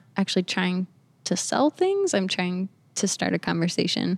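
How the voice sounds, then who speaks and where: A woman with a plain, everyday voice speaks at a moderate pace, her pitch fairly low. The recording is very clean with a silent background and a dry, close sound with no echo. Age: 20s. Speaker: artist. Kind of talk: casual chat.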